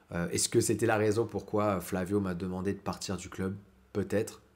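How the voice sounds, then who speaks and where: A man at a fairly low pitch, moderate pace. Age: 30s. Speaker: grappling coach; martial arts coach. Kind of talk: vlog monologue. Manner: hesitant, many fillers. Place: kitchen. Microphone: phone near.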